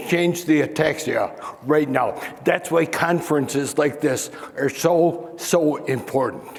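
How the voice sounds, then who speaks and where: A man with an American accent, fairly high in pitch and fairly slow, amid noticeable background noise and audible room echo. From Chicago. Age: 60s. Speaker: ataxia advocate. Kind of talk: panel discussion. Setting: stage with audience.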